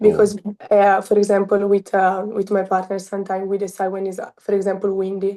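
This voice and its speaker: A woman with an Italian accent speaks in a dark, mellow tone at a medium pitch, her intonation monotone and flat. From Italy, Milan. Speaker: college beach volleyball player. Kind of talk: interview. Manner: halting.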